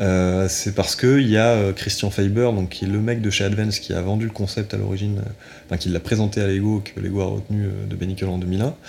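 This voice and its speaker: Through noticeable background noise, a man talks at a fairly low pitch with monotone, flat intonation. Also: fairly quick pace. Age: 20s. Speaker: Lego fan community founder. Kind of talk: interview. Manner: halting.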